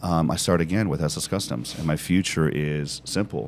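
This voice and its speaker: A man's very deep, low voice in an animated tone at a moderate pace, with noticeable background noise. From Britain. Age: 50s. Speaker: business executive. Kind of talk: podcast interview.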